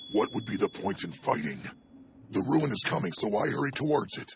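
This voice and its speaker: A man growls through a put-on character voice at a medium pitch. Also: fairly quick pace. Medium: fan dub.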